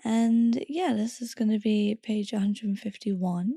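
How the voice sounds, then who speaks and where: Speaking at a moderate pace, a woman with a fairly high pitch sounds somewhat breathy with a dark, mellow tone, on a dry, close recording with no echo that is very clean over a silent background. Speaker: podcast host. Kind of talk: reading aloud.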